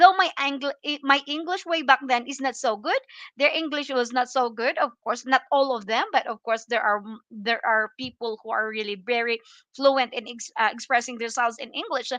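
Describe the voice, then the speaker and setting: A woman with a Filipino accent speaks in a high, bright, sharp voice with big swings in loudness, recorded with a dry, close sound with no echo against a quiet background. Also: ordinary pitch variation, moderate pace. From Philippines. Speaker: livestream vlogger. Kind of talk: casual livestream chat. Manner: halting.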